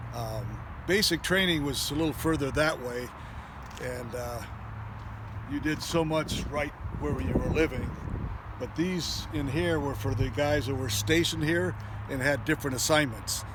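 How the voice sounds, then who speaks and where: With an American accent, a man speaks with long, frequent pauses amid noticeable background noise and audible room echo. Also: moderate pace. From Long Beach, California. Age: 70s. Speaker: army veteran. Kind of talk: casual recollection on a site tour. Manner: hesitant, many fillers.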